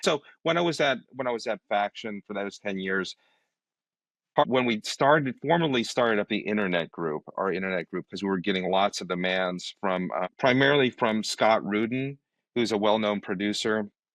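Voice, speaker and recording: Over a quiet background, a man with a fairly low pitch talks at a moderate pace with lively intonation, the sound dry and close with no echo. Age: 60s. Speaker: creative director. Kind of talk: casual interview conversation. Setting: podcast interview. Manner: halting, many fillers and restarts.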